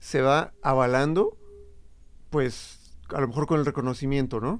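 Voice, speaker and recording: A man is speaking here. He has a fairly high voice. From Morelos, Mexico. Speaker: DJ and creative entrepreneur. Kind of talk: casual chat.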